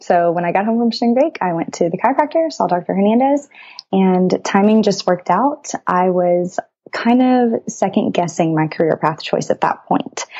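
This woman has a plain, everyday voice, medium pitch and an American accent, talking at a moderate pace with lively intonation and very even loudness. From Texas. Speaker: pre-chiropractic student. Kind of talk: interview.

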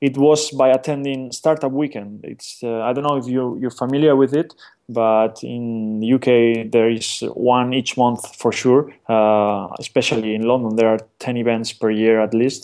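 A man with a Spanish accent speaks at a moderate pace in a dark, mellow tone with fairly even intonation. The recording is very clean, with a silent background. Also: medium pitch for a man. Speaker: startup business team member. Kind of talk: interview.

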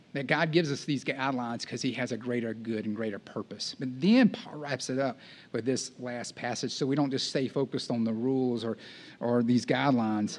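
With a Texan accent, a man speaks at a fairly quick pace. His pitch is medium and his intonation fairly even. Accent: Texan Southern US. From East Texas. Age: 40s. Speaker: campus ministry director, guest preacher. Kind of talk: sermon. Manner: casual, conversational.

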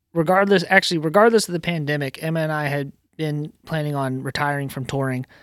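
An unremarkable speaking voice talks at a fairly quick pace with an American accent. The sound is dry and close with no echo, on a very clean recording with a silent background. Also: man. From Virginia, US. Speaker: theater stage carpenter and automation technician. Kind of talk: casual chat.

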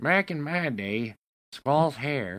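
A man performs a put-on character voice at a fairly high pitch. His pitch swings very widely. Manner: grumbling, complaining.

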